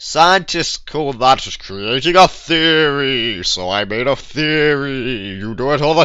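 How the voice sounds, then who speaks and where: Fairly slow and fairly high-pitched, a man's put-on character voice has lively intonation. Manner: scientific and dramatic.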